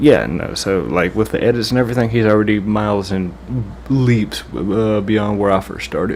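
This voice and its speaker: Over noticeable background noise, a man speaks with a fairly low pitch and ordinary pitch variation. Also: moderate pace. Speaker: gaming YouTuber reacting to a video. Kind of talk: casual reaction commentary.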